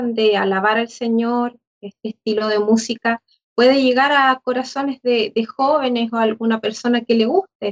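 With an unremarkable speaking voice, a woman talks fairly slowly at a fairly high pitch and with fairly even intonation. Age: 40s. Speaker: church member. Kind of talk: casual chat.

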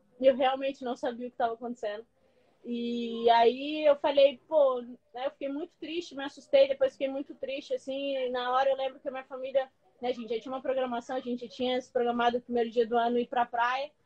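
The delivery is very fast and monotone, with flat intonation. The tone is dark and mellow, and the sound is dry and close with no echo. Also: woman, high pitch for a woman. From Maranhão, Brazil (São Luís). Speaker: professional footballer. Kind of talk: casual interview. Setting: Instagram live video call.

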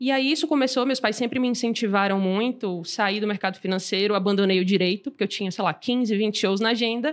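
Very fast, fairly high-pitched speech from a woman, with ordinary pitch variation. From Brazil, Salvador (Bahia). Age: 20s. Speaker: startup founder and CEO, angel investor. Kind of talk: casual interview.

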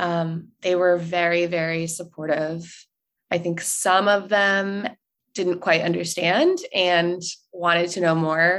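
In an American accent, the speaker talks at a very slow pace with monotone, flat intonation. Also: woman. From US South, North Carolina. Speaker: social media director, podcast guest. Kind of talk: personal story interview.

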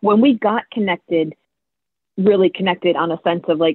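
A woman talks in an unremarkable speaking voice with ordinary pitch variation. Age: 40s. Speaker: financial planner. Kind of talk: casual chat.

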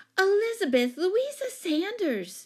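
In a put-on character voice, the speaker goes at a slow pace with big pitch swings and a slightly mellow tone. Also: woman, extremely high pitch for a woman.

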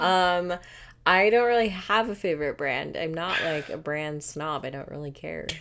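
This woman has an ordinary speaking voice, fairly low in pitch, with lively intonation at a moderate pace. The recording is very clean with a silent background. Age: 30s. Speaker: mother of the host. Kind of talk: casual chat.

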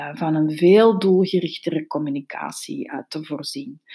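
Spoken at a very slow pace in a Flemish accent, the voice has a dark, mellow tone on a very clean recording with a silent background. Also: woman. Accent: Flemish Dutch. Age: 40s. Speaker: podcast host, social media consultant. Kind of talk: solo podcast talk on business tips.

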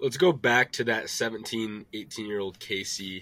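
With an American accent, a man talks in a fairly low pitch and a bright, sharp tone on a very clean recording with a silent background. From US Midwest. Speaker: podcast host. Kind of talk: interview.

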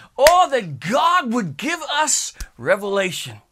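A raised, projected voice with a bright, sharp tone moves at a very slow pace. Its pitch swings very widely. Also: man. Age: 50s. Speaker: pastor. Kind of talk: sermon. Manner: animated.

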